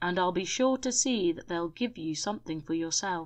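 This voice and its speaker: Against a quiet background, a woman puts on a character voice at medium pitch with lively intonation. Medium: read story. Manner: gruff, irritable, blustering.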